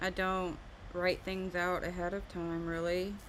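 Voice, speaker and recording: A woman with an American accent speaks at a medium pitch amid audible room echo. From US South. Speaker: art livestreamer. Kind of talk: casual livestream chat. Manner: halting.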